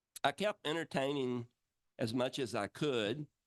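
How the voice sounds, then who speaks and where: At a medium pitch with ordinary pitch variation, a man speaks in a dry, close sound with no echo. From rural Georgia, US South. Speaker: entertainer, puppeteer. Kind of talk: talk to an audience.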